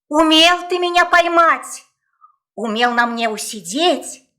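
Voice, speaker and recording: A woman performs a put-on character voice at an extremely high pitch with lively intonation. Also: fairly slow pace. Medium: audio drama.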